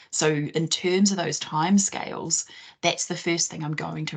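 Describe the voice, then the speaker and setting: In a New Zealand accent, a woman speaks with a very deep, low pitch and vocal fry. Her intonation stays fairly even. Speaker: careers consultant. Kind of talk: online presentation.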